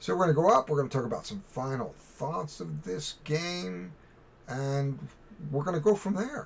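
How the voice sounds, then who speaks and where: Very wide swings of pitch from a man with a fairly high voice, his pace moderate. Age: 60s. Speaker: board game reviewer. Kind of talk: casual game review. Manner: casual, halting.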